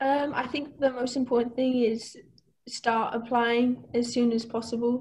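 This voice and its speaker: The speaker has a Welsh accent and a fairly slow pace. The intonation is monotone and flat, with light background noise. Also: woman, high pitch for a woman. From Wales. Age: 20s. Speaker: master's student, scholarship recipient; panelist. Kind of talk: webinar talk about personal experience; webinar Q&A answer. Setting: video call. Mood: reassuring, calm. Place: home room. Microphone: earbuds.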